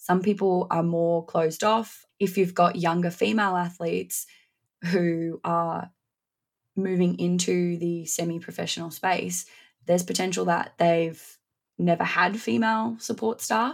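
This is a very clean recording with a silent background, featuring a woman with an Australian accent. Her fairly low voice moves at a fairly slow pace with ordinary pitch variation. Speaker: strength and conditioning coach. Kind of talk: interview.

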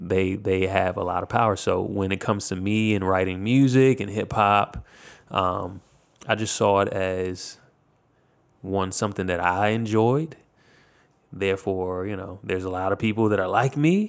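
In a very clean recording with a silent background, a man with an American accent speaks at a moderate pace in a plain, everyday voice, fairly low in pitch and fairly even in intonation. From Virginia, US. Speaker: music producer and recording artist. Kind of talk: interview. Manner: casual with frequent fillers.

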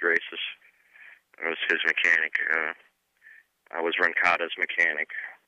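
Speaking with an American accent, a man keeps a moderate pace but takes long, frequent pauses. The sound is dry and close with no echo. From Michigan. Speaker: retired motocross racer. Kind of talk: casual interview.

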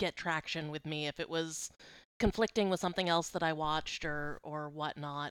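The voice has an American accent. It belongs to a woman. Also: dry, close sound with no echo, very clean recording, silent background. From Boston. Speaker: guest, TV fan. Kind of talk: casual chat.

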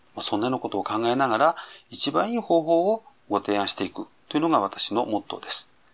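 A man talks at a very fast pace with medium pitch and very wide pitch swings. The recording is very clean, with a silent background. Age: 50s. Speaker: labor and social security consultant. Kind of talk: podcast monologue. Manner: formal.

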